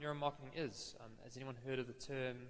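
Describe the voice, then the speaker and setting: A man rushes along at a very fast pace amid noticeable background noise. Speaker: marketing consultant and business owner. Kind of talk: conference presentation. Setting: stage with audience. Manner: hesitant, many fillers.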